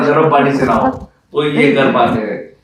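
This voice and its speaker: A man's fairly high-pitched voice with audible room echo. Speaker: aviation company founder and pilot. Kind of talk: interview. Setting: studio. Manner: halting.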